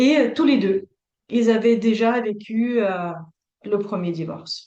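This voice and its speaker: A woman with a Russian accent speaks at a fairly slow pace with ordinary pitch variation. Room echo is audible. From Latvia. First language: Russian (speaking French). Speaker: couples therapist. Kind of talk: interview. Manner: hesitant, many fillers.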